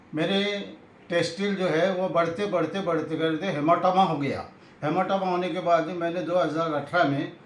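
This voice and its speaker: High-pitched and fairly even in intonation, a man speaks through noticeable background noise and audible room echo. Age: 80s+. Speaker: retired health officer, customer giving testimonial. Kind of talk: testimony. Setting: interview.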